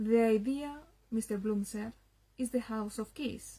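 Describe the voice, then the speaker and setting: A woman's fairly high voice in a Spanish accent, dark and mellow in tone, fairly slow, with fairly even intonation. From Spain. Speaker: literature enthusiast. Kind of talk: reading aloud. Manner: halting.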